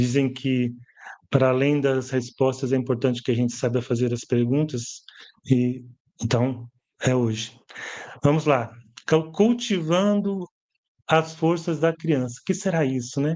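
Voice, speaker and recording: Pausing often and at length, a man talks at a fairly slow pace in a dark, mellow tone with ordinary pitch variation. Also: medium pitch for a man. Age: 60s. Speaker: educator and author. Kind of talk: live stream book launch presentation. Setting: live stream from home. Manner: conversational, hesitant.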